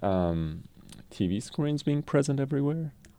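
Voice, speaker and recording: A man with a Persian accent, a dark, mellow tone and lively intonation. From Iran, Tehran. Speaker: French professor. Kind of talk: interview. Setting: radio studio.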